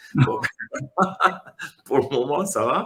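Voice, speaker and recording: The delivery comes at a very slow pace. Vocal fry runs through it. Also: man. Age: 60s. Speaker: comic book author. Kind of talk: casual interview. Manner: hesitant, many fillers.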